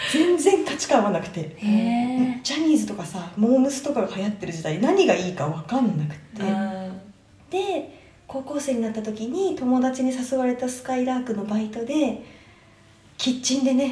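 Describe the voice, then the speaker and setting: A woman's high voice with very wide pitch swings at a moderate pace, amid noticeable background noise and audible room echo. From Japan, Tokyo. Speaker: traveler. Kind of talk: casual chat.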